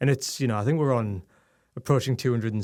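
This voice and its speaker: In a Geordie accent, a man speaks at medium pitch with ordinary pitch variation on a very clean recording with a silent background. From northeast England, Newcastle. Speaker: tech communications director and newsletter editor. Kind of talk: interview. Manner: hesitant, many fillers and repeats.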